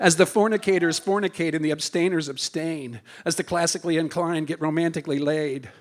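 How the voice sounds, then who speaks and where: Over noticeable background noise, a man with a high pitch rushes along at a very fast pace with hardly any pauses and fairly even intonation. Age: 70s. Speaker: performance poet. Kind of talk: poetry slam performance. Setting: stage with audience.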